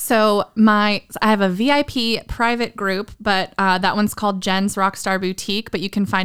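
On a very clean recording with a silent background, a woman with an American accent uses a normal speaking voice at a medium pitch, with fairly even intonation and a fairly slow pace. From Southern Maryland, US. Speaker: online boutique owner. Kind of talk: casual interview chat.

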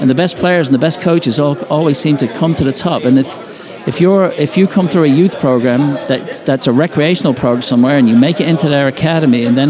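Over crowd noise and audible room echo, a man with an Irish accent talks at a fairly quick pace and a fairly high pitch, with ordinary pitch variation. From Ireland. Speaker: soccer league president. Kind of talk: casual interview. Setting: bar at a conference.

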